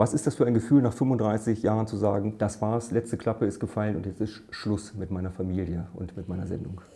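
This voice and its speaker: Somewhat breathy with a dark, mellow tone, a man speaks at a fairly low pitch and a fairly quick pace, with fairly even intonation and hardly any pauses. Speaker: interviewer. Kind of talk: interview host introduction. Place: meeting room.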